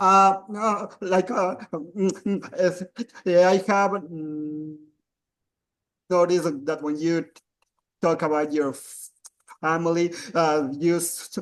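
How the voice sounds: A man speaks slowly at a fairly high pitch. His pitch barely moves.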